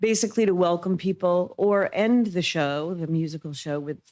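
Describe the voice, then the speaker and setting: In a very clean recording with a silent background, a woman uses a normal speaking voice at a moderate pace with ordinary pitch variation. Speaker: public commenter at city council meeting. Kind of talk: public comment. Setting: city council meeting.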